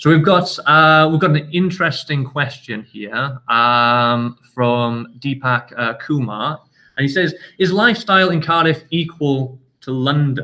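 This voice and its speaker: Speaking at a fairly slow pace with a northern English accent, a man uses a fairly high pitch, ordinary pitch variation and a bright, sharp tone. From northern England. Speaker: university international office staff. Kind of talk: live Q&A session. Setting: sports facility, filmed live. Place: meeting room. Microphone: webcam.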